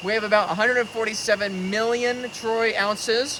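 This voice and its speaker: Over noticeable background noise, a man speaks at a moderate pace in a raised, projected voice. His pitch is high, and his intonation is fairly even. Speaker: bitcoin finance commentator. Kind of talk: vlog commentary. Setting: outdoors in jungle. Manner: loud.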